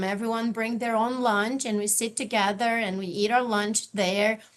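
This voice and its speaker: A woman's fairly high voice in a Brazilian accent, moving at a fairly quick pace. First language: Portuguese. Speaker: university office manager. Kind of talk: panel discussion.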